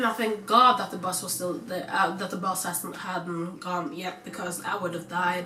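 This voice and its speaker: A woman keeps a moderate pace as noticeable background noise runs underneath. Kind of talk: casual storytime talk to camera. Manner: casual, chatty.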